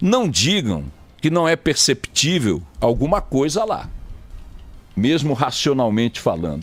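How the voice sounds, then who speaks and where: A man's fairly high voice at a fairly slow pace, with vocal fry, very even loudness and very wide pitch swings. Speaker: radio news anchor. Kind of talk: radio news commentary, opinionated on-air talk.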